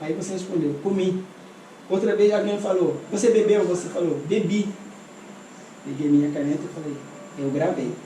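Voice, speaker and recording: A man with a high pitch talks at a moderate pace with long, frequent pauses and ordinary pitch variation, with audible room echo and noticeable background noise. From Senegal. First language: not Portuguese; learned it as an adult in Brazil (speaking Portuguese). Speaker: translator and interpreter. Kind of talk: interview, personal life story. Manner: animated.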